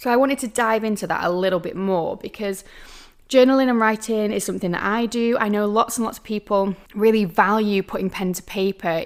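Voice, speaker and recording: A woman with a normal speaking voice, fairly quick pace and fairly even intonation. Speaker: podcast host. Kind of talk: solo podcast talk.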